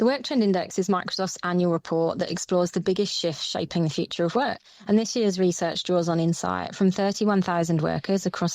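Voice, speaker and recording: With a dark, mellow tone and fairly low pitch, a woman speaks at a fairly quick pace and with fairly even intonation against a quiet background. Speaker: business leader. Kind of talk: interview, prepared answers. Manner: formal.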